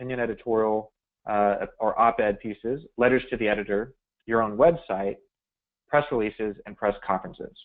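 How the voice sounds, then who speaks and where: At a fairly quick pace, a man speaks at medium pitch with ordinary variation in it. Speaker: webinar presenter on media strategy. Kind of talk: webinar presentation. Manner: fast.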